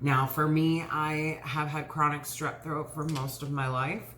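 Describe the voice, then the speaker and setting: A very slow delivery with audible room echo. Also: woman. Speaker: lifestyle vlogger. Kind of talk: casual chat. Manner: hesitant, many fillers.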